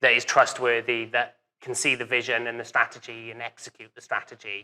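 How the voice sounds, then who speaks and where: A man with a Welsh accent speaks at a fairly quick pace and a medium pitch, in a bright, sharp tone. His intonation is monotone and flat, with big swings in loudness. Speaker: business owner, café and burger restaurant. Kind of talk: live interview. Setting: event with live audience.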